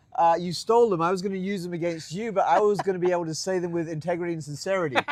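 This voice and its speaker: A man talks at a very fast pace with an English accent. His pitch is high and his tone is animated. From England, Colchester, Essex. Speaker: pastor. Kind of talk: casual interview.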